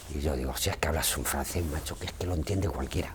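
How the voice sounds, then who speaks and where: Over noticeable background noise, a man speaks at a very fast pace in a very deep, low pitch with ordinary pitch variation. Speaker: retired museum carpenter and former lift operator. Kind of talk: oral history interview answer. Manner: casual, anecdotal.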